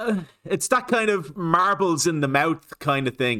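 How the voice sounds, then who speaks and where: A man with an Irish accent at a fairly slow pace, fairly high-pitched and bright, sharp in tone, with very wide pitch swings, on a very clean recording with a silent background. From Ireland. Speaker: reaction video youtuber. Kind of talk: casual commentary.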